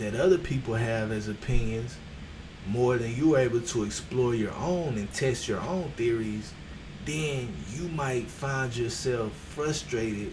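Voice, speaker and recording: Soft-spoken and with an American accent, a man talks at a fairly slow pace with ordinary pitch variation, amid audible room echo and noticeable background noise. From Texas. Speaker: streamer. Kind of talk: motivational livestream talk. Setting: livestream on camera.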